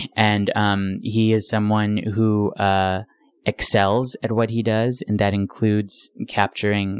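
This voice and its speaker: A man with a General American accent speaks at a very slow pace in a fairly low, monotone, flat voice. The sound is dry and close, with no echo. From US Northeast, Rochester, New York. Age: young. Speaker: stage actor. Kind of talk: interview. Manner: articulate.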